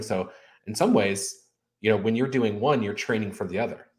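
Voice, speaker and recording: Fairly low in pitch and somewhat breathy, a man speaks at a fairly quick pace. The recording is very clean, its background silent. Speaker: podcast host. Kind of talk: interview.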